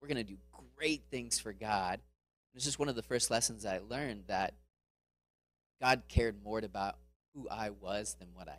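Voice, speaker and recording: Vocal fry and an American accent at a moderate pace, with long, frequent pauses and big swings in loudness. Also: man, fairly low pitch for a man. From Florida, US. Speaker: missionary speaker. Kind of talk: sermon. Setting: church.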